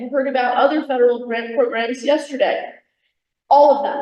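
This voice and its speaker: A woman with an American accent speaks loudly at a high pitch. Audible room echo surrounds her voice. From New York. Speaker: federal agency presenter. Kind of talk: workshop presentation.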